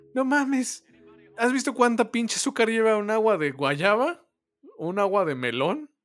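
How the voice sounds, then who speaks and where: With a Mexican accent, a man speaks at a high pitch, his voice making very wide pitch swings. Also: fairly slow pace. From Mexico. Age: 20s. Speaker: podcast co-host. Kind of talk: casual chat.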